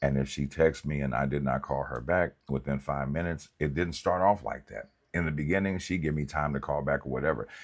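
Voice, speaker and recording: Vocal fry runs through this man's very deep, low voice. He sounds animated, talking at a fairly quick pace with hardly any pauses. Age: 50s. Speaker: pastor and counselor. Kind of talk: livestream talk.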